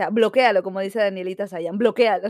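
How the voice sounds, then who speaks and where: A woman speaks at a medium pitch. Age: 20s. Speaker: podcast co-host. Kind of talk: casual chat. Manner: fast.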